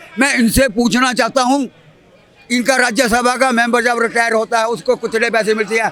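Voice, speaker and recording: Over crowd noise in the background, a man speaks in a raised, projected voice of extremely high pitch, with monotone, flat intonation and very even loudness. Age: 70s. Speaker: retired worker and pensioner. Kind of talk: street interview.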